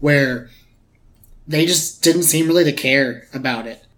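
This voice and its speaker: A man speaks with a plain, everyday voice and fairly even intonation. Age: 20s. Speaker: movie review podcast host. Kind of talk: casual chat.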